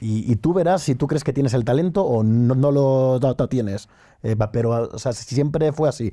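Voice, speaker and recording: This man's voice sits at a medium pitch. Its tone is dark and mellow. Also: ordinary pitch variation, moderate pace, very even loudness. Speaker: entrepreneur. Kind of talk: interview. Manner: halting.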